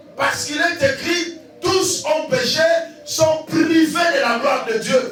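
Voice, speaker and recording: With music in the background and audible room echo, a man speaks at a very slow pace. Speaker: evangelist pastor. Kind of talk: sermon. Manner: slow, deliberate.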